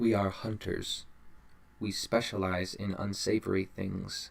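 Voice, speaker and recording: Using a put-on character voice, a man speaks with a fairly low pitch at a fairly slow pace. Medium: read story.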